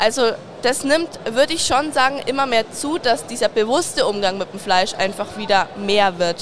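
Noticeable background noise behind a woman's fairly high voice, lively in intonation and moderate in pace. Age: 20s. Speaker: butcher shop sales trainee. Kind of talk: interview. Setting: trade fair.

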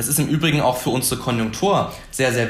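Very fast speech comes from a man at a medium pitch with ordinary pitch variation. Room echo is audible, along with noticeable background noise. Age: 20s. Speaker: young member of parliament. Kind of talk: debate.

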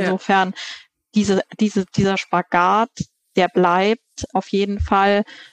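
A woman holds a medium pitch, her delivery flat and monotone. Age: 30s. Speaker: managing director of a family organic food company. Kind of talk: interview.

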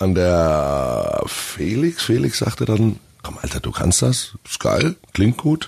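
A man's fairly low voice at a very slow pace, with very wide pitch swings and noticeable background noise. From Franconia, Germany. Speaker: metal band singer. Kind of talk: casual interview. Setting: studio.

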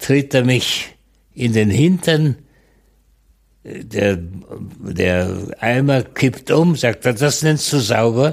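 Loudness stays very even as a man at medium pitch speaks very slowly with lively intonation and long, frequent pauses. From Czechoslovakia, northern Moravia. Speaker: Holocaust survivor and eyewitness. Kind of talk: testimony.

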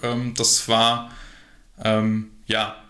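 A man speaks with a bright, sharp tone. There is audible echo from the room. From Germany, Harsewinkel (Westphalia). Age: 20s. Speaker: workplace safety entrepreneur. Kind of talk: interview. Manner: hesitant, many fillers.

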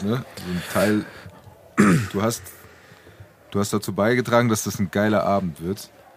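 A man's fairly low voice at a moderate pace, with long, frequent pauses and noticeable background noise. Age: 20s. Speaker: podcast co-host. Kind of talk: casual chat.

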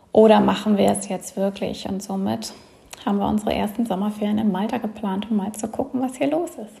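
Over noticeable background noise, a woman talks at a fairly quick pace in a fairly high voice with ordinary pitch variation. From Germany. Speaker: emigrant and entrepreneur. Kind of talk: interview.

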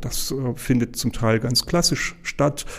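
The tone is dark and mellow. The pace is moderate. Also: man. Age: 60s. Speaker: hospital pharmacy director. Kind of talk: interview.

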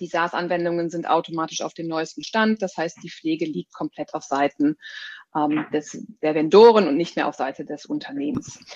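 Delivered at a moderate pace with ordinary pitch variation, the speech has a dry, close sound with no echo. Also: woman, fairly low pitch for a woman. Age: 30s. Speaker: product marketing director. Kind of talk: interview. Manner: hesitant, many filler sounds.

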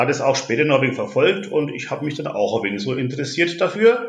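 A fairly high-pitched man in a southern German accent, very wide pitch swings, audible room echo around him. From Franconia, Bavaria (Nuremberg). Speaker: ice hockey fan representative. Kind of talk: interview. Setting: at home.

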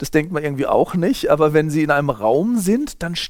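A man talks in a normal speaking voice at a fairly high pitch. His pace is moderate and his intonation lively. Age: 50s. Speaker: sociology professor. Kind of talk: interview.

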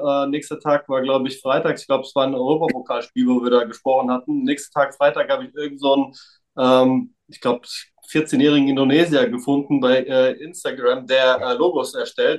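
The delivery is monotone and flat, moving along at a fairly quick pace. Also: man. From Frankfurt area, Germany. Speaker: trading card collector. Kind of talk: casual chat.

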